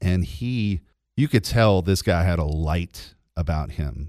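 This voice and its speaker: A man with an American accent speaks at a very deep, low pitch. His tone is dark and mellow, with ordinary pitch variation. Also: very clean recording, silent background. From US South, Georgia (LaGrange). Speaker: radio host. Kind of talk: testimony.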